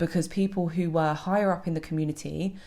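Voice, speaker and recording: In a British accent, a woman speaks at a very fast pace with a dark, mellow tone and a fairly low pitch. Her intonation is fairly even, and the recording is very clean with a silent background. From Britain. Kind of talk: video monologue.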